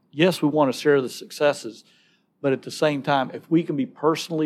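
A man's fairly high voice with a Southern US accent, at a fairly quick pace. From Alabama. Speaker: pro-life ministry speaker. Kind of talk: conversational interview.

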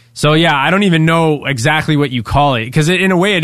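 A man talks at a fairly quick pace in a normal speaking voice. His pitch varies in an ordinary way. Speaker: session musician. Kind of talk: casual chat.

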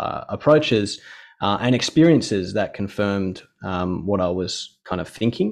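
A man talks at a fairly slow pace with an Australian accent. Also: quiet background. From Western Australia, Perth Hills. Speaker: physiotherapist and researcher. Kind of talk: interview conversation.

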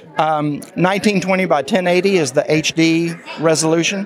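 Noticeable background noise runs under this recording. A man speaks at a high pitch. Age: 70s. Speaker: assistive software developer. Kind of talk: product demo interview.

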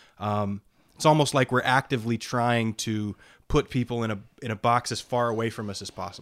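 Recorded with a dry, close sound with no echo and a very clean, silent background, a man with a normal speaking voice talks at a fairly quick pace with fairly even intonation. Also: medium pitch for a man. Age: 30s. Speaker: podcast co-host. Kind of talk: casual chat.

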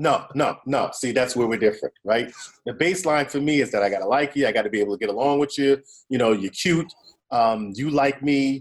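A man's unremarkable speaking voice, medium pitch, ordinary pitch variation and a fairly quick pace. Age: 50s. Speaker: podcast host. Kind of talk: casual chat.

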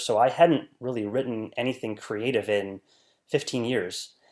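A man speaks in an unremarkable speaking voice with an American accent, medium in pitch and with fairly even intonation. The recording is very clean, with a silent background. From US Midwest, rural northern Wisconsin. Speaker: scientist and novelist. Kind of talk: interview.

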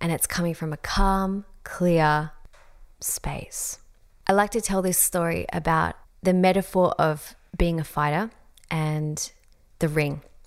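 With an Australian accent, the speaker goes at a very slow pace with fairly even intonation and long, frequent pauses, on a very clean recording with a silent background. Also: woman, fairly low pitch for a woman. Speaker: podcast host and coach. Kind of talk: solo podcast monologue. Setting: home, beside fireplace.

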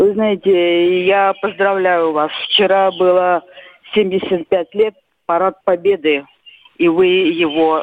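Delivery comes at a very slow pace with long, frequent pauses. Loudness stays very even, and pitch variation is ordinary. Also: woman. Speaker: caller. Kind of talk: casual reminiscence. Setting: phone call.

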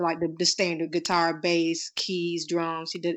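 A woman speaks at a moderate pace in an ordinary speaking voice, her pitch fairly low. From Florida, US. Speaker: singer and author. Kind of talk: casual interview chat.

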